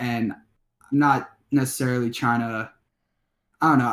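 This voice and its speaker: A man with a Chicago accent speaks with ordinary pitch variation. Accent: Chicago-area American. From Illinois, Skokie near Chicago. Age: 20s. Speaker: rapper. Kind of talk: interview. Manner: halting.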